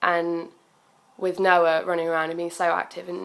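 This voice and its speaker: Monotone, flat intonation in a southern English accent. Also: woman. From southern England, Bournemouth. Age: 20s. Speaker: student and young mother. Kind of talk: personal video message, testimony. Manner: hesitant, many fillers.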